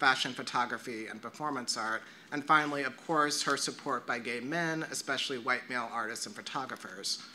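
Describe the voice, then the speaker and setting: Using a bright, sharp tone, a man speaks at a moderate pace with ordinary pitch variation. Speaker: presenter. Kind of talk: lecture reading a paper. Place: classroom. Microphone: camera far.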